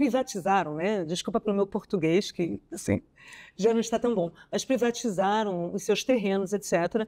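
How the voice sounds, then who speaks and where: The voice has a dark, mellow tone in a very clean recording with a silent background. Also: woman, medium pitch for a woman, ordinary pitch variation, moderate pace. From Brazil. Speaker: archaeologist and historian. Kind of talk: casual interview conversation. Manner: hesitant, with fillers.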